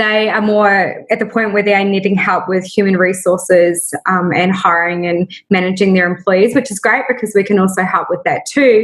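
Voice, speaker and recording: At a moderate pace, a woman with a New Zealand accent speaks at a medium pitch with fairly even intonation. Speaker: small business founder. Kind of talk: casual interview. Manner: hesitant fillers.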